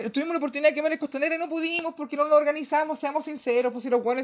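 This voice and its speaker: Very fast speech in a Chilean accent. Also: man. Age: 30s. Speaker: podcast host. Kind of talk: casual political monologue. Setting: livestream. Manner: animated.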